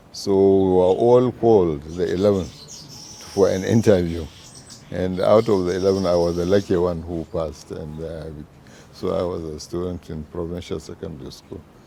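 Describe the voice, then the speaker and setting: Through noticeable background noise, a man talks at a moderate pace in a very deep, low pitch with fairly even intonation. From northern Nigeria, Zaria area. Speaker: veteran journalist and former politician. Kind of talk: interview.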